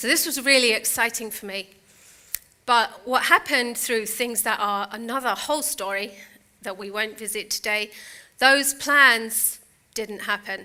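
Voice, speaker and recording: This woman's fairly high voice has a bright, sharp tone, ordinary pitch variation, big swings in loudness and a fairly slow pace. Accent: British. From Britain. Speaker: motivational speaker. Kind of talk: keynote speech. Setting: stage with audience.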